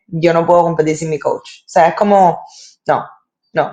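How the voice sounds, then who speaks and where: The speaker has a Cuban accent and a moderate pace. The intonation is fairly even. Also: woman. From Cuba, Havana. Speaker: sports presenter and interviewer. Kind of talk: interview storytelling.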